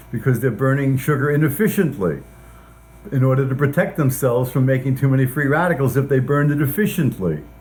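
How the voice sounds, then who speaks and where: A man talks at a very fast pace, somewhat breathy, with very even loudness and ordinary pitch variation. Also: medium pitch for a man. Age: 70s. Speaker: scientist. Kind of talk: interview. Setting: at his home.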